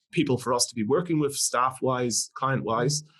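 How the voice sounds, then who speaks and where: With fairly even intonation, a man speaks at a moderate pace and a medium pitch. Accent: Irish. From Northern Ireland. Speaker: company CEO. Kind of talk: podcast interview.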